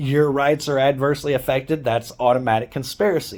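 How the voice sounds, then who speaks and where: The tone is animated and the pace moderate. Pitch variation is ordinary. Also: man. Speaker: activist vlogger. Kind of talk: angry rant. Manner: loud.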